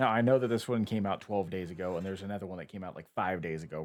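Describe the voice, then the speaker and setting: On a very clean recording with a silent background, a man speaks quietly in a very deep, low pitch. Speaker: YouTube reactor. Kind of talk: reaction video commentary. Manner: quiet, close to mic. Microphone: close to microphone.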